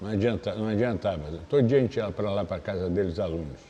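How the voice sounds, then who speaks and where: Moving at a fairly quick pace, a man speaks in a dark, mellow tone with very wide pitch swings. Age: 60s. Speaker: capoeira master. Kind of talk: interview. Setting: capoeira academy.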